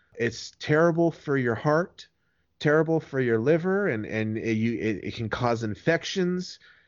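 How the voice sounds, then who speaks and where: Here a man talks with fairly high pitch and lively intonation. His pace is moderate. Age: 30s. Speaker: former drug user interviewed about the dark web. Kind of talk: interview. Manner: halting, repeats words.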